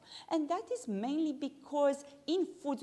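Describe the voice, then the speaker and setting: This woman's voice has a dark, mellow tone and sounds somewhat breathy. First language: not English. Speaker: pharmacist and lecturer. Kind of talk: continuing-education lecture. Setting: evening talk with live audience, livestreamed.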